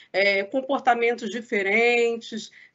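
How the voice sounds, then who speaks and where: A woman talks at a fairly slow pace with a fairly high pitch. She has an ordinary speaking voice. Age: 40s.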